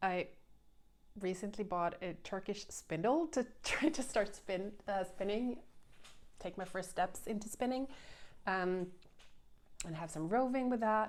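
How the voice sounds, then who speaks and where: A woman with a Swedish accent speaks at medium pitch with ordinary pitch variation and long, frequent pauses. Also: fairly slow pace. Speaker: knitting podcaster. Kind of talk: casual chat. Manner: halting.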